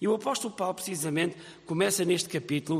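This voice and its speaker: A man speaks with a European Portuguese accent and ordinary pitch variation over noticeable background noise. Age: 50s. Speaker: pastor. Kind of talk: sermon.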